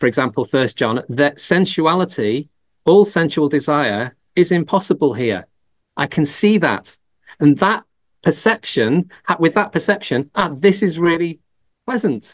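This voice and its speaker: The speaker has an English accent, vocal fry and lively intonation. The pace is moderate and the background quiet. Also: man, fairly high pitch for a man. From England. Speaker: Buddhist monk and teacher. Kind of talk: Q&A after a Dhamma talk. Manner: halting, many fillers and restarts.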